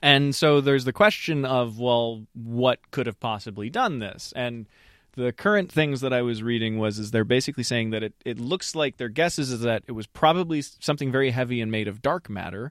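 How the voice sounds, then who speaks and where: An unremarkable speaking voice: a man at medium pitch with ordinary pitch variation, a fairly quick pace and hardly any pauses, in a very clean recording with a silent background and a dry, close sound with no echo. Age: 30s. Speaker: software engineer. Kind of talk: casual chat.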